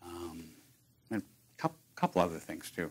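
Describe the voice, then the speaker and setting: At a moderate pace, a man with an American accent speaks in a very deep, low pitch. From Chicago, US Midwest. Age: 60s. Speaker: retired tech worker with early onset Alzheimer's. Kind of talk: talk to an audience about personal experience. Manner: halting, many fillers and restarts.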